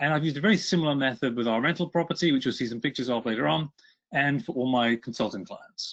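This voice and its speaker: Speaking very fast with lively intonation, a man with a British accent and a fairly high pitch talks over a quiet background. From Britain. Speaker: author and energy consultant. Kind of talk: webinar presentation.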